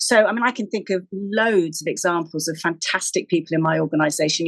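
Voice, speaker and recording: A woman's fairly low voice in a British accent, fairly quick and fairly even in intonation, with a dry, close sound and no echo. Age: 60s. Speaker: charity chief executive and podcast co-host. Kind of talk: casual chat.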